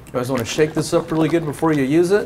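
A man is speaking. Light background noise can be heard. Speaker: show host. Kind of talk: tutorial. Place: garage.

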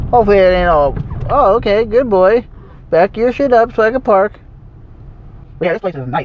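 Speaking fairly quickly in a high pitch, a man uses lively intonation but leaves long, frequent pauses. Background noise is noticeable. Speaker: vlogger. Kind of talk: casual vlog.

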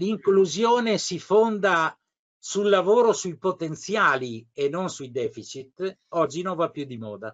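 A man talks in a high voice at a fairly slow pace, with lively intonation. The background is quiet. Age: 70s. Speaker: retired school inspector and pedagogist; interviewee. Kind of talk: interview. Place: home room. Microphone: video call.

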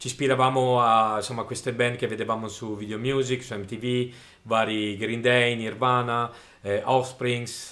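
A man speaks at medium pitch and a moderate pace. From Friuli, northern Italy. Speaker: drummer in punk and hardcore bands. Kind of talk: personal testimony, self-recorded monologue. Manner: casual, hesitant, with fillers. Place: studio.

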